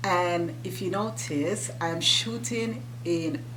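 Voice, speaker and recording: A woman with a Jamaican accent, very deep and low in pitch, with lively intonation, audible room echo and noticeable background noise. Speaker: YouTuber. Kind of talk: casual chat.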